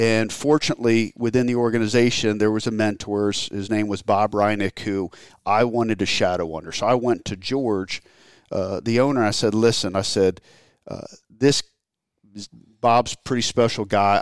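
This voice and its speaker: Here a man with an American accent talks at a moderate pace in an unremarkable speaking voice, fairly low in pitch. Intonation stays fairly even on a very clean recording with a silent background. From Maryland. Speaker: hunting industry executive. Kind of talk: casual interview. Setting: indoors, raining outside.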